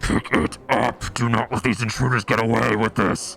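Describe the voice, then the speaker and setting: A man puts on a character voice at a medium pitch and a moderate pace, with clear background noise behind him. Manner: commanding.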